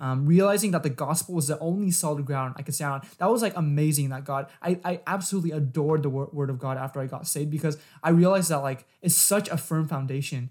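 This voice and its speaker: A man with an American accent talks at a very fast pace with hardly any pauses, his pitch fairly high with ordinary variation. His voice is somewhat breathy, and the recording is very clean with a silent background. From San Diego, California. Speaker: podcast co-host, college student. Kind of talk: casual religious discussion.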